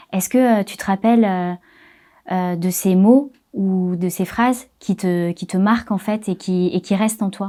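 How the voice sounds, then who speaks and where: A woman's medium-pitched voice with a dark, mellow tone, fairly even intonation, and a fairly slow pace, on a very clean recording with a silent background. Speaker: interviewer. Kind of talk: interview question.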